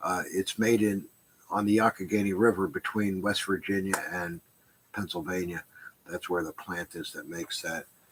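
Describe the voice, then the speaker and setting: The speaker mumbles, and the sound is dry and close with no echo. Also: man, fairly low pitch for a man, fairly even intonation, moderate pace. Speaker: stained glass shop owner. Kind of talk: live stream Q&A. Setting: live stream from shop. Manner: mumbling.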